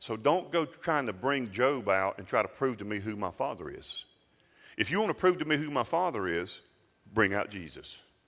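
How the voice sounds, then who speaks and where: This man's voice sits at a medium pitch but swings very widely. His pace is moderate. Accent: Southern US. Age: 50s. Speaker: pastor. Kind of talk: sermon.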